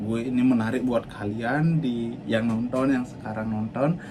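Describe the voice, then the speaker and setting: With noticeable background noise and audible room echo, a man of medium pitch speaks at a fairly slow pace in a fairly even intonation. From Bali, Indonesia. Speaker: cruise ship worker and vlogger. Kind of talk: personal life story vlog. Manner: halting, with fillers and restarts; stiff, not yet fluent on camera.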